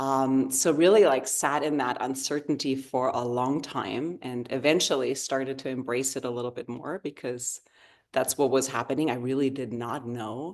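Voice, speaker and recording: With a slight German accent, a woman speaks at a moderate pace in a very deep, low pitch with ordinary pitch variation. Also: quiet background. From Germany, rural area near the Dutch border. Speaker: yoga therapist. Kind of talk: interview conversation.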